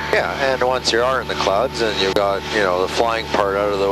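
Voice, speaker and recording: With loud background noise around him, a man keeps a moderate pace. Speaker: flight instructor. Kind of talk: instruction. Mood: calm, explanatory. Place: plane. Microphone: headset.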